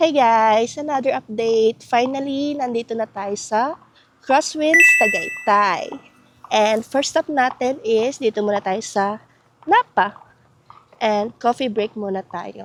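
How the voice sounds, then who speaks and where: A woman talks at a very slow pace in a fairly high pitch with ordinary pitch variation. The sound is dry and close, with no echo. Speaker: travel vlogger. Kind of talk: vlog narration.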